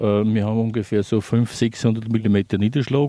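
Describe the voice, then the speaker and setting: A man speaks in a dark, mellow tone at a fairly low pitch. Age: old. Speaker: retired local resident. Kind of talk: casual interview.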